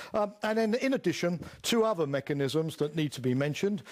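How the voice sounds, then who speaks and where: In a very clean recording with a silent background, a man with a British accent speaks at a moderate pace with lively intonation. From United Kingdom. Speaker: lecturer on international security. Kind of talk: lecture. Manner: halting, many filler words.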